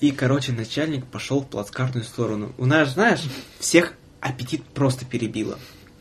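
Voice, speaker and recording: A man speaks at a medium pitch with ordinary pitch variation and a somewhat breathy sound. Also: moderate pace. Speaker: podcast host, former train conductor. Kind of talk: casual chat. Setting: studio. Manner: soft-spoken.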